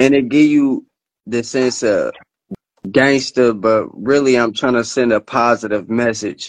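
This man has a plain, everyday voice. His intonation stays fairly even. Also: medium pitch for a man, fairly slow pace. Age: 20s. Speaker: musician.

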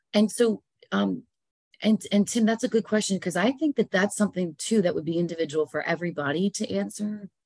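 Fairly quick and full of lively intonation, a woman talks with vocal fry. The sound is dry and close, with no echo. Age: 40s. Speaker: relationship coach and counselor. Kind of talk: casual interview chat.

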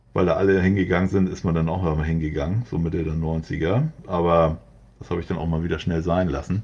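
Speaking at a fairly quick pace, a man with a very deep, low pitch keeps his intonation fairly even. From Hamburg, northern Germany. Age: 40s. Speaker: graffiti artist. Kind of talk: interview. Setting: remote internet recording.

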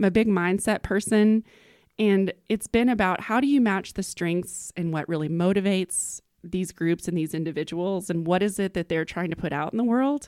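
In an American accent, an unremarkable speaking voice moves at a moderate pace with ordinary pitch variation on a very clean recording with a silent background. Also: woman, medium pitch for a woman. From Texas, small town. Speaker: business leader and entrepreneur. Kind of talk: casual interview.

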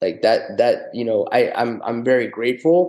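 Speaking at medium pitch, a man has a dark, mellow tone. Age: 40s. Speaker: chef in recovery. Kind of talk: interview. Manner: halting, many fillers.

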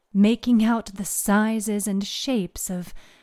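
Fairly even intonation runs through the passage. It is read aloud in a natural voice.

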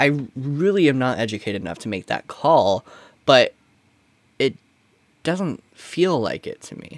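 A man with an American accent speaks with very wide pitch swings and long, frequent pauses. The sound is dry and close, with no echo. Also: fairly high pitch for a man, fairly slow pace, big swings in loudness. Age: 20s. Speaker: comedy podcast co-host. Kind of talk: casual chat.

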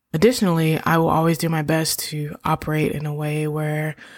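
A woman talks at a moderate pace with a fairly low pitch. Hers is a plain, everyday voice. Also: very clean recording, silent background. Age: 30s. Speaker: podcast host. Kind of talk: solo reflective monologue.

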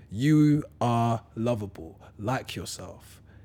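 With a London accent, a man talks in a dark, mellow tone. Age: 30s. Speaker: motivational speaker. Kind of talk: casual chat.

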